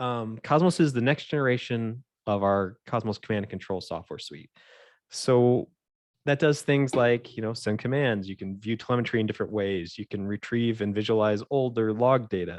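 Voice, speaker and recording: Using ordinary pitch variation, a man speaks at a medium pitch with an American accent. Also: quiet background. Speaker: aerospace software engineer. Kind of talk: technical presentation. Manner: fast; rambling with fillers.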